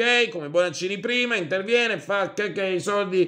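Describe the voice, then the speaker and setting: A man speaks fairly quickly with little sound in the background. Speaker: video commentator. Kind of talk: angry rant. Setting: online video. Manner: loud, exasperated, indignant. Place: home room. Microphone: webcam.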